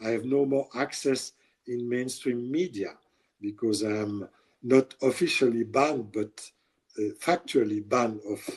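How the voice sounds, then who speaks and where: Fairly slow speech in a French accent, with ordinary pitch variation. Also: man, medium pitch for a man. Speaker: journalist. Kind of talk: interview. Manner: halting.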